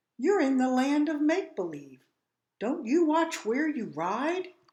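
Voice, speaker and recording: Words come at a fairly slow pace. The delivery is a put-on character voice. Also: woman, high pitch for a woman. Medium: read story. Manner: grumpy, chiding.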